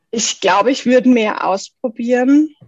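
A woman speaks in an unremarkable speaking voice at a fairly slow pace with fairly even intonation. The sound is dry and close, with no echo. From South Tyrol, Italy. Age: 30s. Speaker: goldsmith. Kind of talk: podcast interview.

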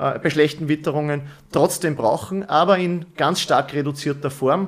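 Using a normal speaking voice, a man with a fairly high pitch talks at a moderate pace with ordinary pitch variation. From Upper Austria. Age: 30s. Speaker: company managing director. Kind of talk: interview. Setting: studio.

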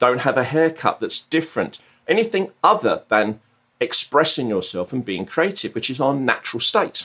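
A man with a southern English accent, fairly high pitch, very wide pitch swings, a bright, sharp tone, vocal fry and a moderate pace. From southern England. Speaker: mindfulness coach and former artist manager. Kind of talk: casual interview.

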